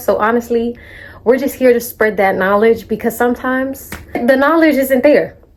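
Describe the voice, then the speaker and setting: A woman speaks in a high pitch at a moderate pace. Her tone is animated. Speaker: vlogger. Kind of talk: casual chat.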